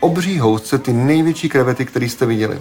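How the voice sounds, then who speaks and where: There is noticeable background noise as a man talks. His pitch is medium, his pace fairly quick and his pitch variation ordinary. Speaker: podcast host. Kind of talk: scripted narration.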